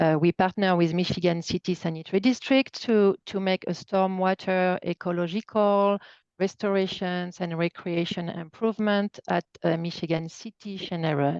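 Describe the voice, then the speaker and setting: Against a quiet background, a woman with a slight French accent speaks at a moderate pace and medium pitch, her intonation fairly even and the sound dry and close with no echo. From France. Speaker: nonprofit environmental project staff. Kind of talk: webinar presentation.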